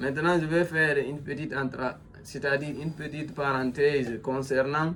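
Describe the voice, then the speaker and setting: Fairly slow, fairly high-pitched speech from a man. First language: a Guinean language (speaking French). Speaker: self-styled philosopher, commentator. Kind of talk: monologue commentary. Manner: halting, many fillers and repetitions.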